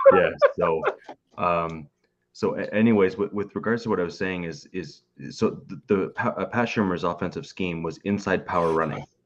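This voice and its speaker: Against a quiet background, a man speaks at a very deep, low pitch with ordinary pitch variation. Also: moderate pace. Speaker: football fan panelist. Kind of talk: casual sports discussion. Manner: halting, repeats words.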